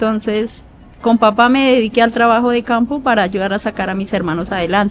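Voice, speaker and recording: A woman speaks at a fairly high pitch and a moderate pace, with ordinary pitch variation. Noticeable background noise is present. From Colombia, rural Meta (Llanos). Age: 40s. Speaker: prison inmate interviewee. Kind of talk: interview testimony.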